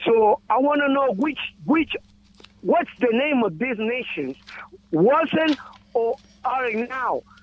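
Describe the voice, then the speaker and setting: A man talks with an extremely high pitch and lively intonation. He goes at a very slow pace, with long, frequent pauses. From Guatemala. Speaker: caller. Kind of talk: call-in question. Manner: halting.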